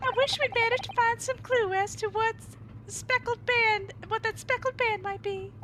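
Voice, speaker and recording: A woman uses a put-on character voice at an extremely high pitch. She keeps a moderate pace over clear background noise. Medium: game stream.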